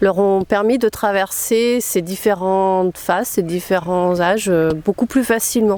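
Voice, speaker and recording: A woman at a medium pitch with a dark, mellow tone, a fairly slow pace, hardly any pauses and very even loudness. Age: 50s. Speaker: naturism ambassador for women. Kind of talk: interview testimony. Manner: hesitant, many fillers.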